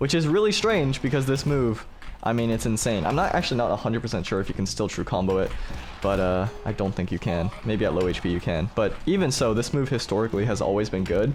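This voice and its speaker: Music plays in the background as a man talks at a very fast pace with very even loudness. His medium pitch moves with lively intonation. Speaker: gaming streamer. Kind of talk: game commentary tutorial.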